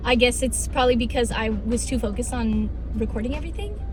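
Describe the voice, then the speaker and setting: Over music in the background, a woman talks at a fairly quick pace. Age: 20s. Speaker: model, singer and actor. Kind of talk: casual vlog talk to camera.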